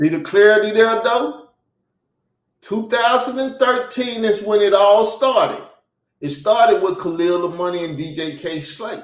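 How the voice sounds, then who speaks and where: A man with an American accent speaks at a high pitch and a fairly slow pace, in an animated tone with ordinary pitch variation. There is audible room echo. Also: big swings in loudness. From US Midsouth (Arkansas and Chicago). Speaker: interview guest, online commentator. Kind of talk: interview, heated grievance talk. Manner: animated, emphatic.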